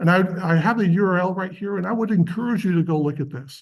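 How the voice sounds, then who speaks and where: A man talks against a quiet background. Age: 50s. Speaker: university professor and research dean. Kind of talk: lecture. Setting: workshop presentation to graduate students.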